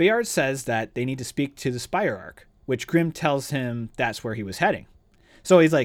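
An unforced reading voice

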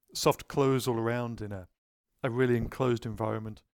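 A man with a British accent talks at a fairly quick pace and medium pitch with ordinary pitch variation, in a dry, close sound with no echo. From Britain. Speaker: podcast host. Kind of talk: casual interview.

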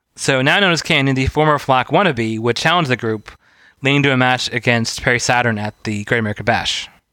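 A man's medium-pitched voice, bright and sharp in tone, fairly quick, with ordinary pitch variation, in a very clean recording with a silent background. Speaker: wrestling podcast co-host. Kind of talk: casual podcast chat. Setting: in person recording.

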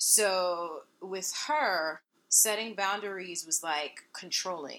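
A woman at medium pitch speaks in a bright, sharp tone with ordinary pitch variation. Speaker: singer and guest. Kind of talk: casual interview.

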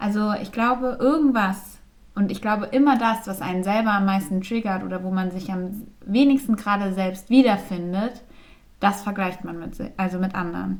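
A woman speaks at a moderate pace with a medium pitch and ordinary pitch variation. Her voice is somewhat breathy. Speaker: podcast co-host. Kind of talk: casual chat. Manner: frequent filler sounds.

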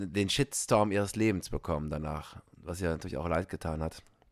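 On a very clean recording with a silent background and a dry, close sound with no echo, a man with a very deep, low pitch talks at a moderate pace with ordinary pitch variation. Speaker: podcast host, stage actor. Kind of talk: casual chat.

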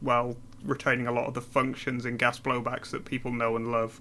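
The man's medium-pitched voice carries a monotone, flat intonation. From northern England, Newcastle. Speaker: airsoft company representative and technician. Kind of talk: podcast interview. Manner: hesitant, many fillers.

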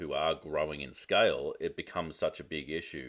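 The recording is very clean and the background is silent. A man talks with an Australian accent. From Australia (Melbourne). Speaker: marketing coach and business advisor. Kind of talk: casual interview chat.

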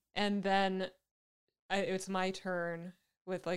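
A woman talks in an ordinary speaking voice at a medium pitch. Her pace is fairly slow. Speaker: podcast co-host and editor. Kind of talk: casual chat.

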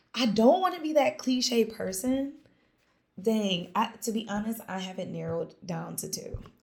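A woman with a fairly high pitch speaks at a moderate pace in an animated tone with lively intonation. Her voice has vocal fry and big swings in loudness. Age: 30s. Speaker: small business owner and karate teacher. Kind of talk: casual chat.

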